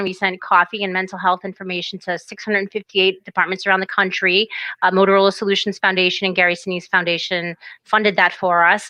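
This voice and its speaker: A woman speaks at a very fast pace in a bright, sharp tone. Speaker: co-founder and president of a police suicide prevention nonprofit. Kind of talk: interview conversation. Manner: unscripted, spontaneous.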